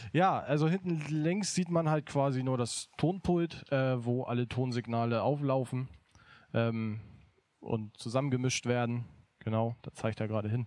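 This man has a normal speaking voice at a medium pitch. He talks at a fairly slow pace with ordinary pitch variation. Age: 20s. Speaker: event technician. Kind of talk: casual livestream chat. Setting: studio.

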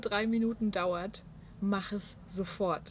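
A woman's voice, a bit breathy, stays fairly level in its intonation. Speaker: podcast guest. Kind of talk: casual chat. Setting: on a balcony in Munich.

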